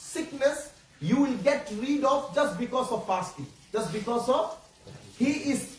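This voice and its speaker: With a Bengali accent, a man speaks at an extremely high pitch with ordinary pitch variation, over noticeable background noise and audible room echo. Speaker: Islamic preacher. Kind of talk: religious talk to children. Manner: halting.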